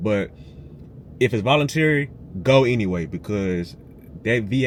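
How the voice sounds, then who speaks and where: A man's animated voice with lively intonation at a moderate pace. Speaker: military veteran, video creator. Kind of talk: casual advice tutorial. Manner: animated, conversational.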